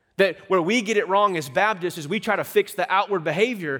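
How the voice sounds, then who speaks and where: A man speaks at a fairly quick pace in a high voice, his pitch varying an ordinary amount. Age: 30s. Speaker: pastor. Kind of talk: sermon. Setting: church.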